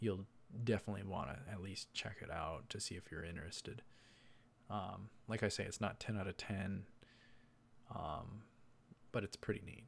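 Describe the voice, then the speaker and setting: A man with a fairly low pitch and a somewhat breathy voice speaks at a moderate pace with ordinary pitch variation and long, frequent pauses. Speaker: anime reviewer. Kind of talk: episodic review, casual monologue. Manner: rambling, filler-heavy.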